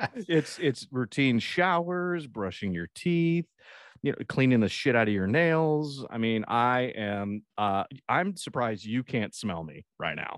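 Over a quiet background, a man of medium pitch talks at a fairly slow pace with very wide pitch swings in a dry, close sound with no echo. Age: 40s. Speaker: podcast co-host. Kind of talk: casual chat.

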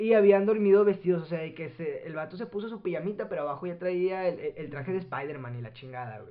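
Talking at a very fast pace with hardly any pauses, a man uses a high voice, lively intonation and big swings in loudness. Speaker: podcast co-host, student. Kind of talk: casual chat; storytelling about history.

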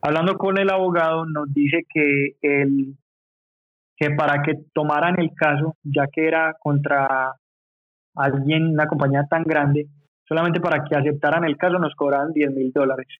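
This man speaks at a fairly slow pace in a fairly high voice, with very even loudness and a monotone, flat intonation. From Medellín, Colombia, then USA from age 9. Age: 30s. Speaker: clothing brand co-founder. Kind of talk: casual interview chat.

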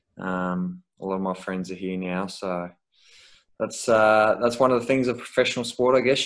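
In a very clean recording with a silent background, a man with an Australian accent talks at a fairly quick pace with fairly even intonation. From Melbourne, Australia. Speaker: professional footballer. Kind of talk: casual interview. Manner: hesitant, many fillers.

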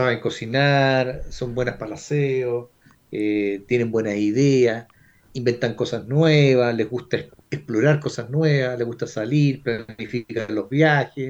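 With a Chilean accent, this man talks at a fairly slow pace in a medium pitch, his intonation fairly even. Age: 60s. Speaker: flight instructor. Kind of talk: casual chat.

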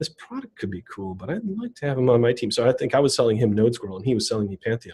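Speaking with an American accent at a very fast pace with hardly any pauses, a man has a medium pitch, a dark, mellow tone, a somewhat breathy quality, ordinary pitch variation and big swings in loudness. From US Midwest, southeast Wisconsin (Racine). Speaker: tech executive, developer relations director. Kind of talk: casual interview.

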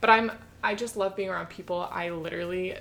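A woman speaks at a fairly quick pace. Her voice has vocal fry. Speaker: podcast co-host. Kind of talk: casual chat.

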